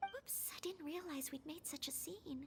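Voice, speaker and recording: A woman uses a squeaky, put-on character voice with extremely high pitch at a moderate pace. Clear background noise can be heard. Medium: video game. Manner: polite, formal.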